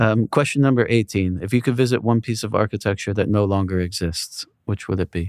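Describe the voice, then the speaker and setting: Over a silent background in a very clean recording, a man with a normal speaking voice talks fairly quickly at a fairly low pitch with fairly even intonation. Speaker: podcast interviewer. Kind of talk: interview Q&A, casual conversation.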